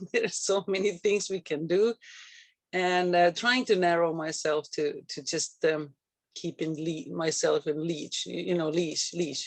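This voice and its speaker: A slight Finnish accent at a fairly slow pace. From Finland. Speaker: real estate agent. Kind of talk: casual chat. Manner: halting.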